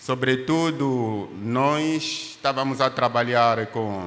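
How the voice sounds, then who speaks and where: An Angolan accent with ordinary pitch variation, audible room echo and noticeable background noise. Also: man. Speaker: pastor and doctor, missionary. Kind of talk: testimony in church. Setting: church service.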